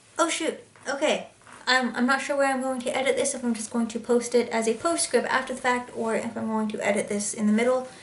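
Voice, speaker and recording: A woman with a high pitch at a very fast pace, against noticeable background noise. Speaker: cross-stitch video blogger. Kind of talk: casual chat. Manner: animated.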